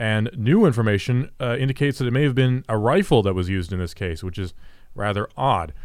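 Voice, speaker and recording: With an American accent and an ordinary speaking voice, a man speaks at a fairly quick pace and medium pitch with lively intonation, on a very clean recording with a silent background. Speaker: news headline reader and co-host. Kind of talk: casual banter and news reading.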